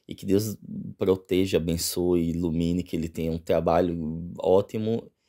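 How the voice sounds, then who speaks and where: A man's very deep, low voice in a dark, mellow tone, monotone and flat, at a fairly slow pace, with big swings in loudness over a quiet background. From Northeast Brazil. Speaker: vlogger, exchange student; vlogger. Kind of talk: casual vlog. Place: home room. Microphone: phone near.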